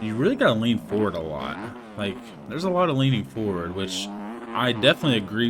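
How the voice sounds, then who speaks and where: A man with a fairly low voice talks at a fairly quick pace, with audible echo from the room. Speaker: gaming youtuber. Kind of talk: casual gameplay commentary. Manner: fast, casual.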